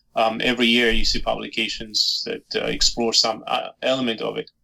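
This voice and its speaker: A man speaks with a Georgian accent. His pace is moderate. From Georgia (Soviet Union). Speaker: historian and author. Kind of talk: interview. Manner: hesitant, many fillers.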